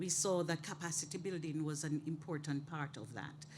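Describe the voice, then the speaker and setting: This woman speaks at a moderate pace. Her voice is somewhat breathy. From Jamaica. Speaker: workshop moderator. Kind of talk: panel moderation.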